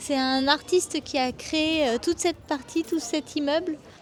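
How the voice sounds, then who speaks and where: Her pace fairly slow, the woman speaks with ordinary pitch variation. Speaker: travel vlogger. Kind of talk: travel vlog presentation.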